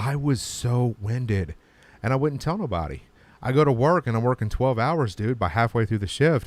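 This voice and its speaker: In a very clean recording with a silent background, a man uses a plain, everyday voice. His medium pitch carries lively intonation at a moderate pace. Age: 40s. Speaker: podcast host. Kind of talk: casual chat.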